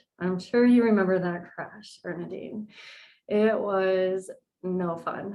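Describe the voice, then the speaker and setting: A very slow, monotone delivery with flat intonation and a dark, mellow tone in a Californian accent. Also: woman, medium pitch for a woman. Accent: General American, Californian. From US West Coast, San Diego, California. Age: 40s. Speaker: nutrition coach. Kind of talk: podcast interview, personal story.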